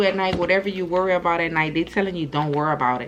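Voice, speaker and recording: A woman's medium-pitched voice at a very fast pace, with noticeable background noise. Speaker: tarot reader. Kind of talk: channeled tarot reading. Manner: casual, repetitive.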